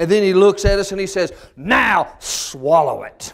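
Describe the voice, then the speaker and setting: In a Southern US accent, a man talks in a high voice. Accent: Southern American. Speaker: storyteller and humorist. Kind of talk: humorous folk storytelling.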